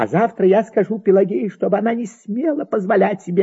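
The voice reads in an unforced way. Its intonation remains fairly even.

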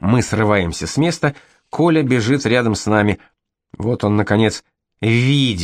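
Against a quiet background, the recording features reading aloud in a natural voice with ordinary pitch variation.

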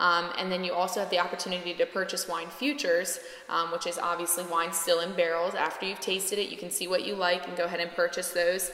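Over music in the background and audible room echo, a woman with an American accent speaks at a medium pitch in a flat, monotone way. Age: 20s. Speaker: winemaker. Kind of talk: interview. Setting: at a winery.

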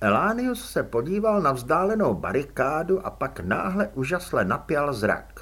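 The intonation rises and falls in a lively way. A text is read aloud in a natural voice.

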